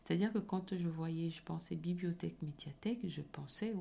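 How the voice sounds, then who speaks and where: A woman speaks at a fairly low pitch with ordinary pitch variation, a dark, mellow tone and vocal fry. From Cameroon. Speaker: podcast host. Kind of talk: motivational solo podcast.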